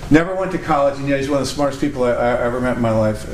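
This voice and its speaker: Speaking very fast with an American accent, a man is heard amid noticeable background noise and audible room echo. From Connecticut. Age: 60s. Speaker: entrepreneur and speaker. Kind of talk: talk to an audience. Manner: halting, many fillers.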